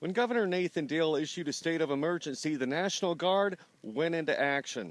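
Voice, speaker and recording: On a very clean recording with a silent background, a man in a normal speaking voice talks at a moderate pace with ordinary pitch variation. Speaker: news reporter. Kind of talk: TV news report.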